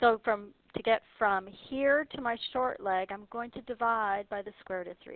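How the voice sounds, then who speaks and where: A moderate pace and ordinary pitch variation from a woman with a normal speaking voice. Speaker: math teacher. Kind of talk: tutorial.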